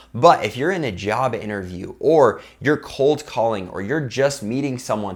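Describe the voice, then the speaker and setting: With a normal speaking voice and lively intonation, a man talks at medium pitch and a moderate pace in a very clean recording with a silent background. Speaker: youtuber giving sales and persuasion tips. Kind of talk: tutorial. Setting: talking to camera. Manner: upbeat, smiling.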